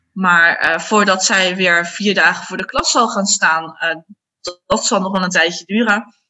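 A normal speaking voice from a woman, medium in pitch, at a fairly slow pace with ordinary pitch variation. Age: 30s. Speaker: primary school teacher. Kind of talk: casual interview.

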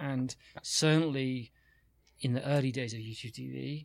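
A man with a British accent speaks at a medium pitch. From UK. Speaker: media executive. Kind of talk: casual chat.

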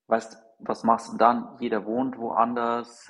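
Here a man talks at a very slow pace. His medium-pitched voice is monotone, with flat intonation. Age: 40s. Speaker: fintech company co-founder. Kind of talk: casual interview.

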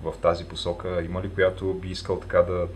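Over noticeable background noise, a man speaks with a very deep, low pitch. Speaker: podcast host. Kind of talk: casual interview. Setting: remote recording.

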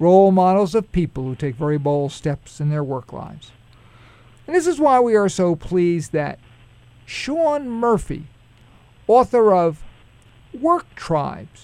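The speaker has a Brooklyn accent and a fairly slow pace. Long pauses come often. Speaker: radio show host. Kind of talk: radio interview. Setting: radio studio.

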